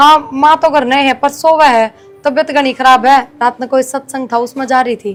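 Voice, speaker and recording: A woman with a Haryana accent speaks at a high pitch. Her pace is moderate, with music in the background. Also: fairly even intonation. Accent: Haryanvi. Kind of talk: scripted family drama dialogue.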